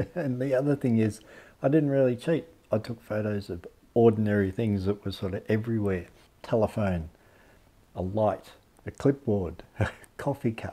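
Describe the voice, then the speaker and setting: Speaking at a moderate pace, a man has a fairly low voice with a dark, mellow tone. His loudness swings widely. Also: ordinary pitch variation. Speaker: photography vlogger. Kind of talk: casual vlog chat. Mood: relaxed, chuckling often. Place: home room.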